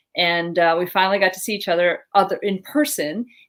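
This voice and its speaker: A woman talks at a fairly quick pace in an ordinary speaking voice with a fairly low pitch. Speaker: general surgeon, talk show co-host. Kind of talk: casual medical talk show chat. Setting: live video talk show.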